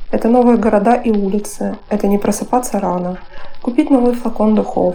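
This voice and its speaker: A woman speaks at a moderate pace while noticeable background noise carries on. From Russia, Moscow. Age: 30s. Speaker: podcast contributor. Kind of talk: prepared monologue.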